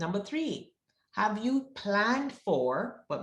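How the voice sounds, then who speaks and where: A woman speaks at a very slow pace with a Jamaican accent and medium pitch. Her pitch swings very widely, and her voice is somewhat breathy. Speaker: wealth advisor. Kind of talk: presentation.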